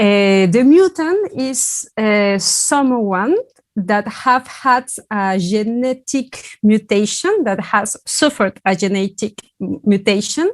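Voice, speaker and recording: Very slow pacing from a woman, fairly high in pitch, with lively intonation. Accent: non-native. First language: not English. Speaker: academic presenter. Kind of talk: conference talk. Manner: halting, many filler sounds.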